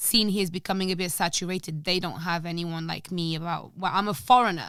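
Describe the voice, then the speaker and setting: In a very clean recording against a silent background, a woman speaks in an animated tone. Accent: non-native. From Portugal. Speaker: podcast guest, language teacher. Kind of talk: casual chat. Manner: animated, high energy.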